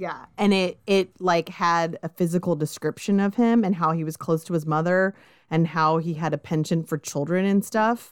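A woman talks with a Californian accent and fairly even intonation, hardly pausing at all. The sound is dry and close, with no echo. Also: fairly low pitch for a woman, moderate pace. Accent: Californian American. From Southern California. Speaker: true crime podcast host. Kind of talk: casual chat with narration of case.

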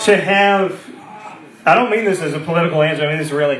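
Fast and fairly bright, a man's fairly high voice comes with audible room echo. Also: ordinary pitch variation.

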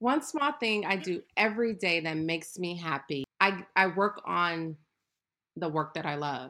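A woman's plain, everyday voice, fairly low in pitch with lively intonation, at a fairly slow pace in an American accent. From Ohio, US Midwest. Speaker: entrepreneur and yoga instructor. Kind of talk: interview. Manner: casual, many filler words.

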